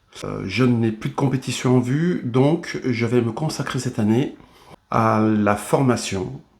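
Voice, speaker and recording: With normal pitch movement, the voice proceeds very slowly. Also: man, medium pitch for a man. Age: 60s. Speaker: bodybuilder and fitness trainer. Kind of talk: video monologue. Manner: hesitant, many fillers.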